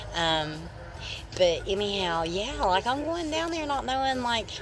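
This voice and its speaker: Speaking at a moderate pace with a strong Appalachian accent, a woman is heard over noticeable background noise. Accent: strong regional Appalachian. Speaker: livestreamer. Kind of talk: casual livestream chat. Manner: casual, rambling with fillers.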